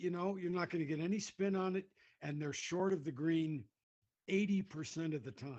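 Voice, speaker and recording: A man's high-pitched voice at a moderate pace, with ordinary pitch variation. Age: 60s. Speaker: comedian. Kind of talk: casual chat. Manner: halting.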